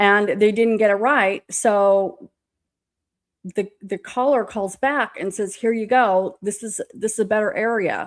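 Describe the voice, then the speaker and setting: A woman talks at a fairly slow pace in a fairly high, animated voice. The recording is very clean, with a silent background. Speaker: true crime podcast host. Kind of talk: casual commentary.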